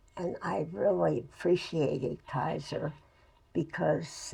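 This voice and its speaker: In an American accent, a woman speaks. Her pace is very slow. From New Haven, Connecticut. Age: 80s+. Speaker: retired nurse. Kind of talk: interview answer. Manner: warm.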